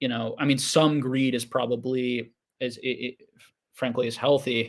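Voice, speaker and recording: Mumbling in a monotone, flat intonation. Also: man. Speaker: Pokemon card investing YouTuber. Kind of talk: livestream Q&A chat. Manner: halting, many repeated words.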